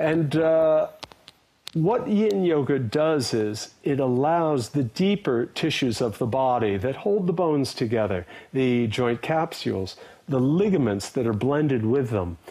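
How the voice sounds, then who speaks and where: With an American accent, a man speaks fairly slowly at a medium pitch, his tone dark and mellow. His loudness is very even while his pitch swings very widely. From USA. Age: 60s. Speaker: yoga teacher and Buddhism scholar. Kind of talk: interview.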